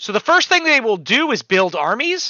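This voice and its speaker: The voice is male. It swings very widely in pitch. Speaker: board game designer. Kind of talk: tutorial. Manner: fast.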